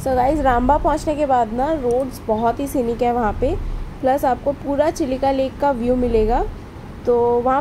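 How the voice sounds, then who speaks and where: The woman talks at a fairly slow pace with very even loudness and ordinary pitch variation. Light background noise can be heard. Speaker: travel vlogger. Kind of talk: casual vlog chat. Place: car.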